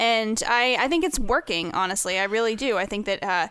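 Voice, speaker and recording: A woman talks at a fairly quick pace in a bright, sharp tone of fairly high pitch with ordinary variation. The recording is very clean and the background silent. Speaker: radio co-host. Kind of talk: casual radio talk show chat.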